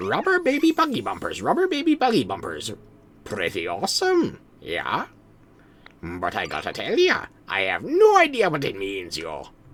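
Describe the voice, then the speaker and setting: A man's put-on character voice at a moderate pace. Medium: game stream.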